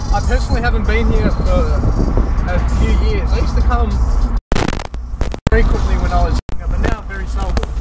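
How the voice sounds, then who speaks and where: Fairly quick speech from a man, dry with no echo, over loud background noise. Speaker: car vlogger. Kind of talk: casual vlog chat. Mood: relaxed, nostalgic. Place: car.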